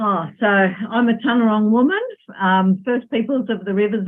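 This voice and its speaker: Here a woman talks with an Australian accent at a medium pitch. She goes at a fairly slow pace. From Australia, Melbourne. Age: 60s. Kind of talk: podcast interview. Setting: remote call from home.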